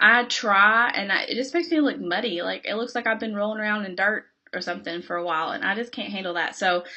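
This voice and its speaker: A woman with a Kentucky accent and ordinary pitch variation. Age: 20s. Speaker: beauty vlogger. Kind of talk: casual chat.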